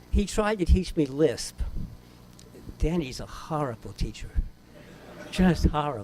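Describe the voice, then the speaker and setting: A man with an American accent speaks with very wide pitch swings. He leaves long, frequent pauses. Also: fairly high pitch for a man, fairly slow pace. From New York City, the Bronx. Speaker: cognitive scientist. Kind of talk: memorial speech. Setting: memorial event with audience.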